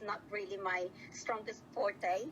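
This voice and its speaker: A woman speaks fairly slowly in a fairly high pitch. Noticeable background noise is present. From Australia (Sydney), migrated from Philippines at 13. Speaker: interviewee, ex-partner of scammer. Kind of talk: interview.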